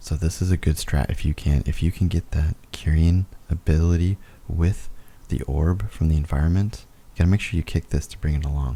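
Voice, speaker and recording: A man whispers at a fairly quick pace, soft-spoken and somewhat breathy. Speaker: gaming video commentator. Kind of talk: gameplay voiceover commentary. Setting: home recording, voiceover. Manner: whispering, soft late-night voice; casual, halting with fillers.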